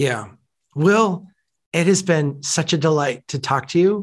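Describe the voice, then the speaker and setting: In a normal speaking voice with an American accent, a man with a fairly high pitch talks at a moderate pace with ordinary pitch variation on a very clean recording with a silent background. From Minnesota. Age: 40s. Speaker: podcast host. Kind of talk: podcast interview.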